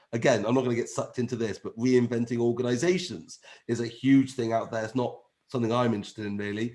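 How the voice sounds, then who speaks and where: Here a man speaks very fast. His pitch is medium. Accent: English. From England. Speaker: agile trainer. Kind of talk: webinar presentation. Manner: animated.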